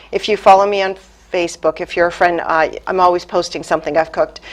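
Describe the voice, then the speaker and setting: With a Boston accent, a woman speaks at a medium pitch. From US Northeast, Boston area. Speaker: chamber of commerce president. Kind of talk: interview. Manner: hesitant, many fillers.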